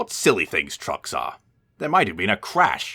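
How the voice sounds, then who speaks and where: A man puts on a raspy character voice. The recording is very clean with a silent background. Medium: read story.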